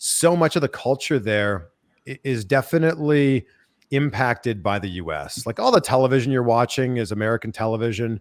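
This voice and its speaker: On a very clean recording with a silent background, a man speaks at medium pitch and a fairly quick pace with lively intonation. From Ontario, Canada (near Toronto). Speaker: podcast host and interviewer. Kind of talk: casual interview chat.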